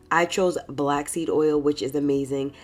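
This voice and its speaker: Over noticeable background noise, a woman speaks with a very deep, low pitch. Her intonation is fairly even and her pace moderate. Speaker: beauty YouTuber. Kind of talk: tutorial.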